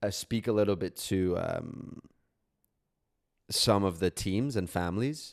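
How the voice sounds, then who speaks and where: A man with a fairly low voice and ordinary pitch variation talks fairly slowly, leaving long, frequent pauses. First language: Catalan. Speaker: podcast co-host. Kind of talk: casual chat. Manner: halting, many fillers.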